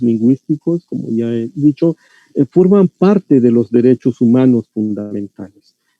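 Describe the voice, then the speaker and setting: Speaking at a medium pitch, a man shows ordinary pitch variation. His pace is fairly slow. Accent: Yucatán. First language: Yucatec Maya (speaking Spanish). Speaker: linguistics scholar lecturing on language rights. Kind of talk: lecture. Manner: hesitant, many fillers and repetitions.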